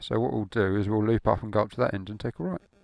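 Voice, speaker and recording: A man talks with an Essex accent. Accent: southern English (Essex). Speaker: motovlogger. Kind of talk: motorcycle ride-along commentary. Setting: outdoors on a motorbike. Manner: casual, conversational.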